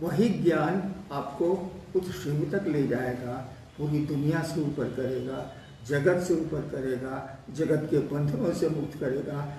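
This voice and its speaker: A man with fairly high pitch and ordinary pitch variation, amid noticeable background noise and audible room echo. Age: 70s. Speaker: spiritual teacher. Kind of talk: religious discourse answering questions.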